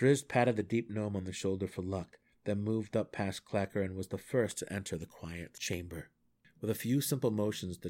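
Natural reading aloud, pitch rising and falling in an ordinary way

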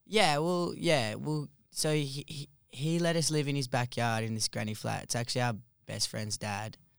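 This man speaks with an Australian accent at a moderate pace and medium pitch. His intonation is lively, and the recording is very clean with a silent background. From New South Wales, near Wollongong. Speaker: lead singer of a band. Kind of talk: casual interview.

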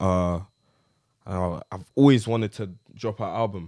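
The speaker has a South London accent and fairly even intonation, heard in a very clean recording against a silent background. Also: man. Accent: South London (multicultural London English). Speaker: rapper and producer. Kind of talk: casual interview chat.

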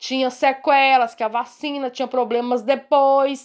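Over a silent background in a very clean recording, a woman speaks in a high voice. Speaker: health professional. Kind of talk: interview. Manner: halting.

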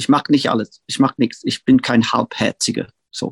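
In a dry, close sound with no echo, a man speaks at a moderate pace. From northern England, Manchester outskirts. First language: English (speaking German). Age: 60s. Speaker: punk-era music figure and producer. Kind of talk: interview. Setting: remote call. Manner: halting.

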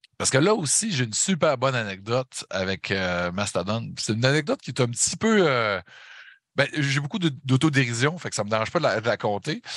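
Speaking at a fairly quick pace with a Saguenay accent, a man with a medium pitch swings very widely in pitch on a very clean recording with a silent background. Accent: Saguenay Quebec. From Quebec, Saguenay. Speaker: metal podcaster and concert photographer. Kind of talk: casual chat.

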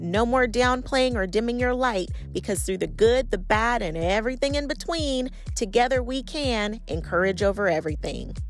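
Over music in the background, a woman with a fairly high pitch talks at a moderate pace in an animated tone with lively intonation. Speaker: podcast host. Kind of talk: motivational podcast monologue.

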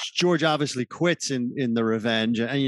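A man's ordinary speaking voice at a medium pitch and moderate pace, with a dry, close sound with no echo and a quiet background. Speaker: podcast host. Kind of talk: interview.

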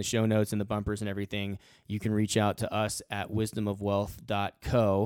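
A man with a fairly low pitch is heard dry and close with no echo, on a very clean recording with a silent background. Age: 40s. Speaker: financial advisor podcast co-host. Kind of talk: casual chat.

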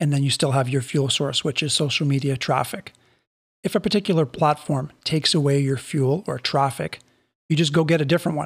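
On a very clean recording with a silent background, a man talks fairly quickly in a somewhat breathy voice, fairly high in pitch with ordinary pitch variation. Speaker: network marketing podcast host. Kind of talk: solo podcast monologue. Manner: animated.

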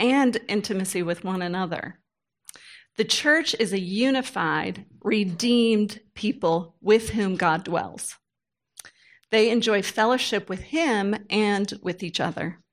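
On a very clean recording with a silent background, a woman uses a normal speaking voice at a medium pitch, talking at a fairly slow pace with ordinary pitch variation. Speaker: pastor's wife and women's ministry leader. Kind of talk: teaching talk.

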